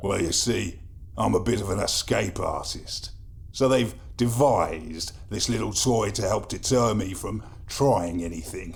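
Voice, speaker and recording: Putting on a wheezy character voice, a man talks at a moderate pace and a fairly low pitch. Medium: audio drama. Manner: wry, ironic.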